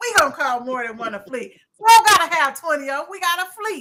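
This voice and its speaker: A woman uses a raised, projected voice with a bright, sharp tone at a moderate pace. Her delivery is animated, with very wide pitch swings. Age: 60s. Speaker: event promoter and live show host. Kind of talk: casual live-stream chat.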